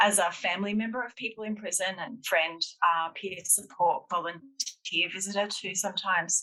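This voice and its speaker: Medium pitch with ordinary pitch variation from a woman in an Australian accent, her tone bright and sharp, at a moderate pace. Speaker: public health professor. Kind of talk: panel talk. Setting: webinar.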